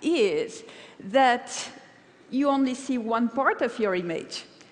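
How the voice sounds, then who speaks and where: A woman speaks in a French accent at a very slow pace. Her voice is high with very wide pitch swings. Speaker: paper cutting artist. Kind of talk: conference talk.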